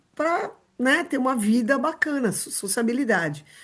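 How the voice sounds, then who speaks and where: A woman with a plain, everyday voice, lively intonation and moderate pace over a quiet background. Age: 60s. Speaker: rehabilitation and inclusion specialist. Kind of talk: podcast interview.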